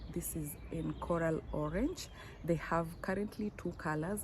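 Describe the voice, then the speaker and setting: Fairly slow speech under noticeable background noise. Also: woman. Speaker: fashion vlogger. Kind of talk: unboxing vlog. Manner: animated.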